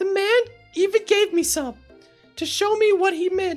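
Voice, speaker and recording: Using a put-on character voice at an extremely high pitch, a woman speaks at a moderate pace over faint background music. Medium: game stream. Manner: breathless, gushing.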